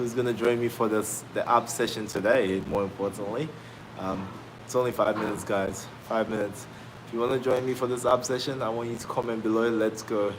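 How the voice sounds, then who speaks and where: Man of medium pitch at a fairly quick pace, amid noticeable background noise. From Australia. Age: 20s. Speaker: fitness trainer. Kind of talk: live stream chat. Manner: energetic.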